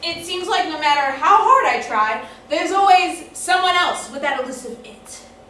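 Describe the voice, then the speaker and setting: Against noticeable background noise, a woman with an extremely high pitch uses a raised, projected voice at a moderate pace, with very wide pitch swings and big swings in loudness. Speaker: stage performer. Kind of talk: one-woman theatre monologue. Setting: live theatre stage. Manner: charming, engaging; polished rage.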